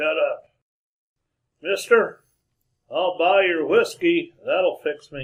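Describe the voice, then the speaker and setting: Putting on a character voice with a Western US accent, a man speaks very slowly, with long, frequent pauses. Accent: Western frontier drawl. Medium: old radio play. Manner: terse, gruff.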